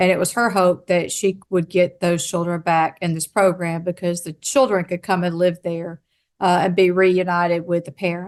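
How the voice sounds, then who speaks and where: Over a quiet background, a woman with a Southern US accent speaks at a moderate pace in a fairly low pitch and monotone, flat intonation. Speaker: state behavioral health official. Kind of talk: conference talk.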